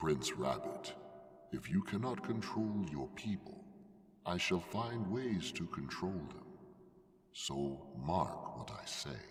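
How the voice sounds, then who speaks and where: Pitched fairly low, a man speaks fairly slowly in a put-on character voice, with clear echo around him. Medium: read story. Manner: grave, measured.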